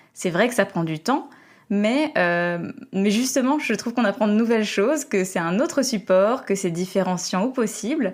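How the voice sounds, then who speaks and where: Speaking at a moderate pace, a woman uses lively intonation and a fairly high pitch. The recording is very clean, with a silent background. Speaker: podcast host and coach. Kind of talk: interview. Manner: dynamic.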